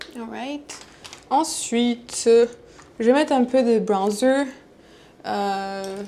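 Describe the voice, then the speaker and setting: Noticeable background noise accompanies a woman with a fairly high pitch and ordinary pitch variation. She speaks at a very slow pace with long, frequent pauses. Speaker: vlogger. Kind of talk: casual vlog talk to camera. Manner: halting, code-switching French and English.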